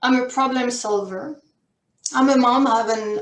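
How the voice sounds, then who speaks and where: A woman's fairly high voice in a French accent, with fairly even intonation. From France or French-speaking region. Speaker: career and life coach. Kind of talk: workshop presentation.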